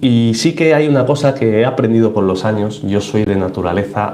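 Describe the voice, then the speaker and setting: Audible room echo and noticeable background noise surround a man who speaks at a fairly quick pace. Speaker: aquarium YouTuber and researcher/teacher. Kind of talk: live stream Q&A. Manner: fast; animated.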